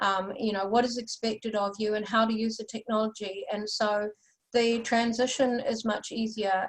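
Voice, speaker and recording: A woman with a New Zealand accent speaks at a moderate pace in a fairly high pitch, her intonation monotone and flat. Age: 60s. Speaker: UFO researcher and experiencer. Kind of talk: interview.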